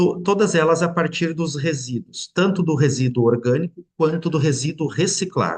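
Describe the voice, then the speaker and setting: Speaking at a moderate pace with hardly any pauses, a man shows ordinary pitch variation. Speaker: mayor. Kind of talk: webinar presentation. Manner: halting, with repetitions and fillers.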